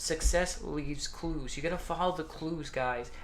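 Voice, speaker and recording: A man's flat, monotone voice with audible room echo. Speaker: motivational YouTuber. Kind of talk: casual vlog talk to camera. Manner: fast; halting with many fillers.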